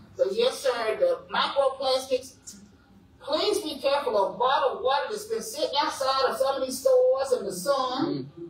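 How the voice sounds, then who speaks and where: Over light background noise and audible room echo, a woman with an American accent speaks at a moderate pace in a high voice with very wide pitch swings. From Western North Carolina. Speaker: clean water presenter; presenter. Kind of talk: presentation. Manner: animated. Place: classroom. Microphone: camera far.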